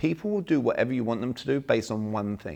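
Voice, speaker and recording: Over a quiet background, a man talks at a very fast pace with an English accent. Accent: English accent, kept on purpose. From England. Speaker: sales and communication trainer. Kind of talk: seminar talk. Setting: small room seminar with audience. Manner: animated.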